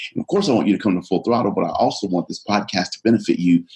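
Fairly low-pitched, a man speaks in an animated tone. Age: 40s. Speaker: motivational speaker. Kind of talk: podcast interview.

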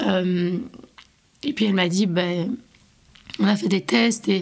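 Vocal fry runs through a woman's medium-pitched voice as she talks at a moderate pace. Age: 20s. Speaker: university student. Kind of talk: personal testimony.

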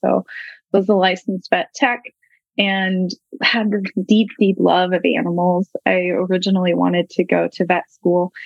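Medium-pitched woman with an American accent, moderate pace and fairly even intonation, music in the background. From Northern California. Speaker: equine coach and rancher. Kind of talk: interview.

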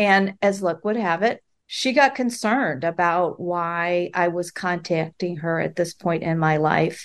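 An ordinary speaking voice from a woman with an American accent, fairly low in pitch with ordinary pitch variation, at a fairly slow pace with hardly any pauses, against a quiet background. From US Midwest, Chicago. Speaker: author. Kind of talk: podcast interview.

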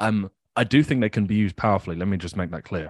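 A man talks at a very fast pace with ordinary pitch variation, the sound dry and close with no echo against a quiet background. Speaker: podcast co-owner and coach. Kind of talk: casual conversation, podcast discussion.

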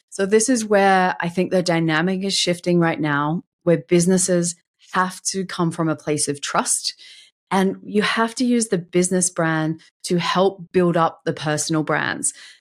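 A woman with an Australian accent speaks at a moderate pace in a fairly low pitch, on a very clean recording with a silent background. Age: 40s. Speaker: LinkedIn marketing consultant. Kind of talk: interview.

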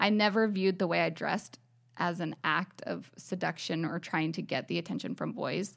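A woman with an American accent speaks at a fairly low pitch with vocal fry, a moderate pace and ordinary pitch variation. The recording is very clean, with a silent background. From US South, New Orleans then elsewhere in US. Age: 30s. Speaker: podcast co-host, wife. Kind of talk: personal storytelling.

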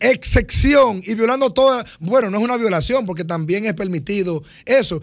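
At a moderate pace, a man's voice swings very widely in pitch on a very clean recording with a silent background. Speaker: radio panelist. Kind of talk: radio talk show discussion.

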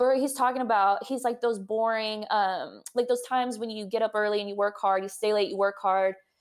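A woman with an American accent and a plain, everyday voice, fairly high in pitch, at a fairly quick pace with hardly any pauses and fairly even intonation. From Texas, San Antonio. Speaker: doctor. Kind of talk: casual interview.

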